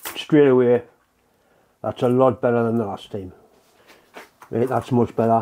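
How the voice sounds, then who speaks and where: A man's dark, mellow voice at a moderate pace, with fairly even intonation and long, frequent pauses. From UK. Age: 60s. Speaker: welding and workshop video maker. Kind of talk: tutorial. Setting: workshop. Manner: casual, rambling. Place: workshop.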